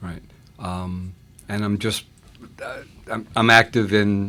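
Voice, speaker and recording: A man with an American accent speaks at a very slow pace with fairly even intonation. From New York, Long Island. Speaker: deacon and scouting chaplain. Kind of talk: interview.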